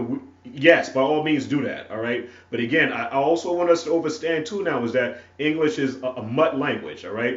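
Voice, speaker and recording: A man with a fairly high pitch speaks at a moderate pace with lively intonation. Audible room echo and noticeable background noise surround him. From North Carolina (Wilson). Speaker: preacher. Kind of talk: sermon. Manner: halting, many fillers and repetitions.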